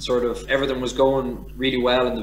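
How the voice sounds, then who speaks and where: With a Dublin accent, a man talks at a fairly quick pace amid noticeable background noise and audible room echo. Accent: Irish (Dublin). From Ireland, Dublin. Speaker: former professional rugby player. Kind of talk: casual interview.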